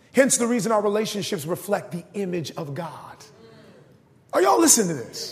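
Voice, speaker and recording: A man speaks at a fairly quick pace with a high pitch and lively intonation, his loudness swinging widely. Background noise is noticeable. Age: 30s. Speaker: pastor. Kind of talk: sermon.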